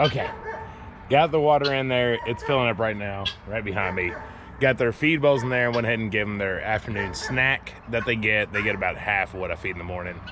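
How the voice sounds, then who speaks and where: A man with a mid-range pitch and typical intonation talks somewhat briskly while background noise is clearly audible. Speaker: homesteader vlogger. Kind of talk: vlog narration. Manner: fast.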